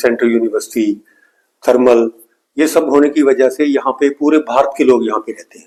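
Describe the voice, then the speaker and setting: A man's medium-pitched voice with a Punjabi accent. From Punjab, India (Bathinda area). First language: Punjabi (speaking Hindi). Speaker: music teacher. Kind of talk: tutorial.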